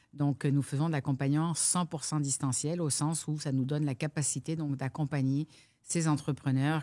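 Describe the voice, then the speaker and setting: Speaking at a fairly quick pace, a woman with a very deep, low pitch and a dark, mellow tone keeps a monotone, flat intonation over a very clean recording with a silent background. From France. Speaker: business coach. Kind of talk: interview.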